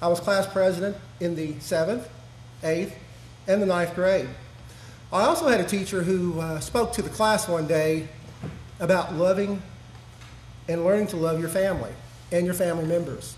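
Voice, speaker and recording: A high-pitched man at a moderate pace, with fairly even intonation, long and frequent pauses, light background noise and audible room echo. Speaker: speaker. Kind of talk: speech at an awards ceremony. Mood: warm, reflective. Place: hall. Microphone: podium.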